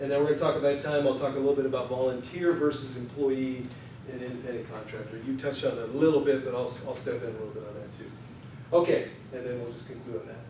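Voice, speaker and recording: Amid noticeable background noise and audible room echo, a man talks at a very fast pace with fairly even intonation and big swings in loudness. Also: medium pitch for a man. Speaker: employment lawyer. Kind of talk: conference presentation.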